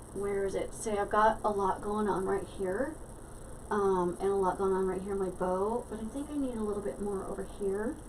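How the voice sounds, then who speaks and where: A woman mumbling at a moderate pace, with medium pitch and fairly even intonation, amid audible room echo and noticeable background noise. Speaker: craft tutorial maker. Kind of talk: tutorial. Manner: mumbling to herself; casual, hesitant with fillers.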